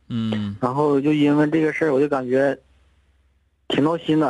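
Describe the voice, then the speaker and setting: Against a quiet background, a man speaks at a very fast pace with a fairly high pitch and ordinary pitch variation. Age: 30s. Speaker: caller, design studio owner. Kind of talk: phone-in advice call. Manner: halting.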